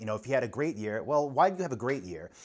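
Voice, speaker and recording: American accent on a man's voice. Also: quiet background. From New York. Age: 30s. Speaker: online entrepreneur and business vlogger. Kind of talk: casual vlog advice talk. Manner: conversational, filler-heavy.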